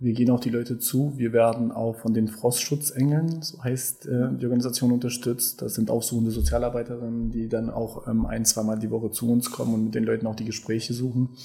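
A man with medium pitch has a dark, mellow tone. He talks at a fairly quick pace and sounds somewhat breathy. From Kosovo and Germany. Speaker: homeless aid coordinator. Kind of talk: interview.

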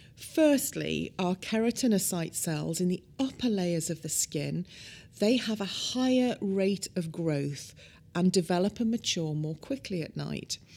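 A woman's dark, mellow, medium-pitched voice in a British accent, fairly slow with lively intonation, in a very clean recording with a silent background. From UK. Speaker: cosmetic scientist. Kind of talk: expert interview explanation.

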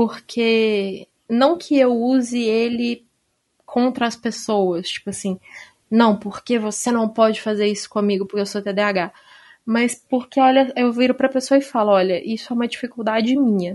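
A woman with an ordinary speaking voice talks at a moderate pace with a fairly high pitch. The background is quiet. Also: fairly even intonation. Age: 20s. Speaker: teacher and author. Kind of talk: casual chat.

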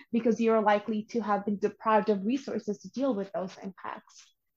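A woman's somewhat breathy voice sits at a fairly high pitch and follows fairly even intonation. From Bangladesh. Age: 20s. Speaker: youth climate organizer and environmental science student. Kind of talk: interview.

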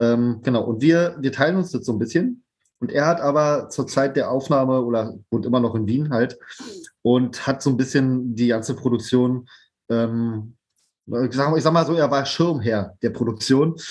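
Against a quiet background, a man speaks at a moderate pace in a medium pitch. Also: ordinary pitch variation. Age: 30s. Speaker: band drummer and educator. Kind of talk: casual chat.

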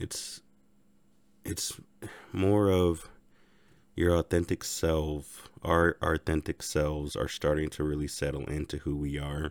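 On a very clean, dry, close recording with a silent background and no echo, a man speaks very slowly in a flat monotone at a very deep, low pitch, with long, frequent pauses. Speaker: spiritual podcaster. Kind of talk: spiritual monologue. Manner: casual, reflective. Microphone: new microphone.

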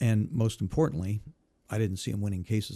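With an American accent, a man talks at a moderate pace in a fairly low pitch with a dark, mellow tone. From Indiana, US Midwest. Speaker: former judge and prosecutor running for office. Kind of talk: interview conversation.

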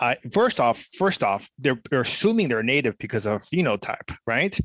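A man with very wide pitch swings, dry, close sound with no echo, and a very clean recording with a silent background. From Mexico. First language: Spanish. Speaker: podcast host. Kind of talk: casual chat.

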